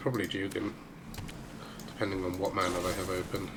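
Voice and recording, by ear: A man with a low voice, talking at a fairly quick pace over clear background noise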